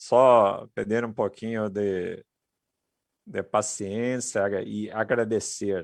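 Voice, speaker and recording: Speaking at a very slow pace with a Portuguese accent, a man keeps his intonation fairly even against a quiet background. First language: Portuguese (speaking Spanish). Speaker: technology speaker. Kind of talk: conference presentation.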